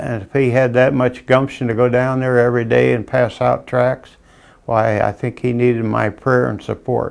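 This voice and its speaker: With a Midwestern US accent, a man speaks at a medium pitch and moderate pace in a monotone, flat intonation. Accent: US Midwest. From Iowa. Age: 80s+. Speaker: war veteran. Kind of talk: testimony. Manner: halting.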